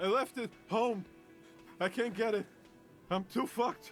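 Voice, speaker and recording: A man's wheezy, put-on character voice, high in pitch at a moderate pace, with clear music in the background. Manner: wheezing.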